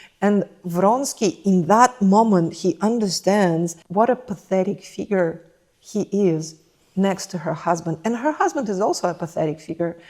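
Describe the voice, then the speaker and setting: A woman with a Russian accent talks at a moderate pace and medium pitch. Her tone is animated, with ordinary pitch variation. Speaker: literature commentator. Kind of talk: casual chat.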